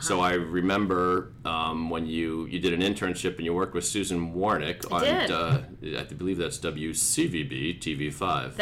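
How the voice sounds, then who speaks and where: A man with a very deep, low voice talks at a very slow pace with ordinary pitch variation and hardly any pauses, over noticeable background noise. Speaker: podcast host. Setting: studio podcast recording with guests. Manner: jokey, conversational.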